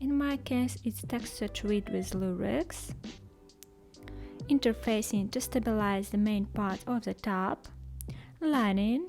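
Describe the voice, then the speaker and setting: Music plays behind a woman with a non-native accent. She speaks at a very slow pace with long, frequent pauses. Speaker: sewing pattern maker. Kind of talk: sewing tutorial narration.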